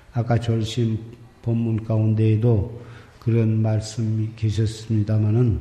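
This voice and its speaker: A man's medium-pitched voice, monotone and flat, at a very slow pace. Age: 70s. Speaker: Buddhist monk, Seon master. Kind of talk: dharma talk on meditation.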